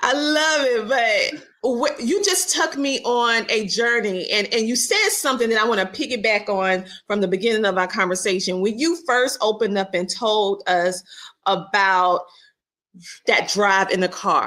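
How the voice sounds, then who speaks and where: Bright and sharp in tone, the voice is animated, with lively intonation and a Southern US accent. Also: woman, fairly high pitch for a woman, moderate pace. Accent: Southern twang. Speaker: podcast host. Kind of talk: casual interview chat.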